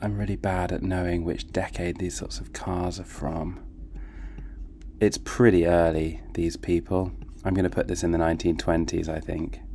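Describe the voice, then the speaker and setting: A man's very deep, low voice with a British accent, dark and mellow in tone, at a moderate pace with ordinary pitch variation. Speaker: gaming YouTuber. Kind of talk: casual gameplay commentary.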